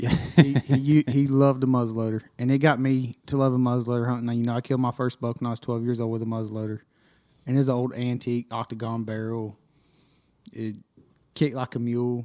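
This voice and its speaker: In a Florida Panhandle accent, a man talks very fast at a medium pitch, his tone dark and mellow, his intonation flat and monotone, the sound dry and close with no echo. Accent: US Southern (Florida Panhandle). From Northwest Florida. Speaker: hunter. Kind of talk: casual chat.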